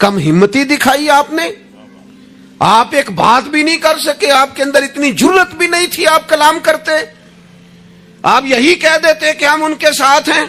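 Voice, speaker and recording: A man's extremely high voice is raised and projected, with ordinary pitch variation. Noticeable background noise can be heard. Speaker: Islamic preacher. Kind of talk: religious sermon. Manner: emotional, impassioned.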